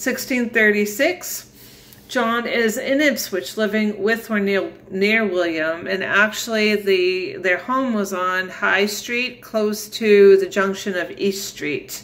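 This woman speaks at a very slow pace, with ordinary pitch variation. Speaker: family history storyteller. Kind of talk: casual talk walking through a timeline. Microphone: phone near.

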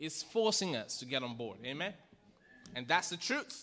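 Here is a man's voice. Its tone is bright and sharp. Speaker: pastor. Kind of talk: sermon. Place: church. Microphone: podium.

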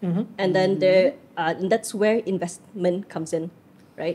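The speaker, a woman, keeps a moderate pace. Some breathiness colors her voice. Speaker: podcast guest. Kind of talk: interview answer. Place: studio. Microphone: studio mic.

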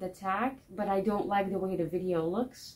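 In a non-native accent, a woman speaks with a dark, mellow tone and monotone, flat intonation. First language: not English. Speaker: book vlogger. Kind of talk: casual vlog monologue. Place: home room.

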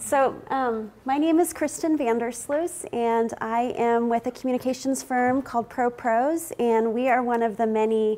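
A woman talks in a dark, mellow tone with ordinary pitch variation. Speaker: keynote presenter. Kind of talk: conference presentation. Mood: friendly, smiling. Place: meeting room. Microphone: lapel.

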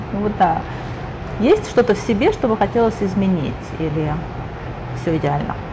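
A woman's lively intonation at a moderate pace, broken by long, frequent pauses, with noticeable background noise. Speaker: interviewer. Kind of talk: interview. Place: bar.

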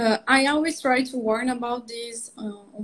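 This woman has a Portuguese accent and a somewhat breathy voice, and her intonation stays flat and monotone. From Brazil. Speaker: veterinary cardiologist. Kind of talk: interview. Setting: video call. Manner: halting. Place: home room. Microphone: video call.

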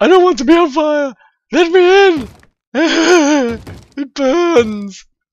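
A put-on character voice is pitched high. It moves at a very slow pace. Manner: desperate, groaning.

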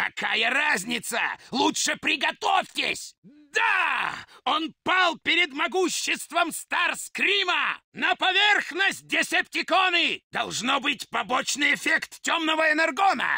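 In a put-on character voice, a man talks at an extremely high pitch and a fairly slow pace. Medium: dub. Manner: shouting, commanding, with gloating laughter.

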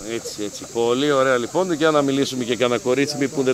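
A man talks at a fairly quick pace in an animated tone. Noticeable background noise can be heard. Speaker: festival presenter and video reporter. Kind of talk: live on-location reporting with street interviews. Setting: outdoors at riverside hot springs festival.

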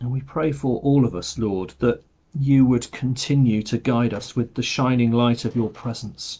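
Here a man speaks in a dark, mellow tone with fairly even intonation. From England. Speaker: parish priest leading online morning prayer. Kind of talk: fervent intercessory prayer, spoken aloud to God. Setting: recorded video service. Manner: earnest, pleading, heartfelt; slow, halting with fillers. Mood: quiet, reverent. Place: home room. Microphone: webcam.

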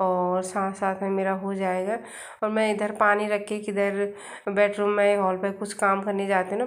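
Quiet and flat, a woman's medium-pitched voice stays monotone in a room with audible echo. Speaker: family vlogger. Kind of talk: casual vlog narration. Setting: outdoors on rooftop; at home, kitchen. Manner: quiet voice.

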